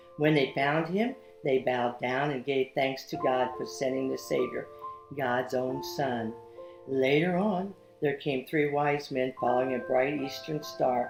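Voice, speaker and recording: A woman's very deep, low voice with ordinary pitch variation, at a fairly slow pace, music in the background. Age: 70s. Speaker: children's book author. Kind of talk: reading aloud.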